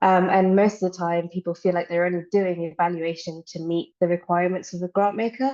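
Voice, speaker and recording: A woman's fairly low voice in a dark, mellow tone, at a fairly quick pace with hardly any pauses and fairly even intonation. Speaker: evaluation practitioner. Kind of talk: online panel presentation. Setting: online webinar.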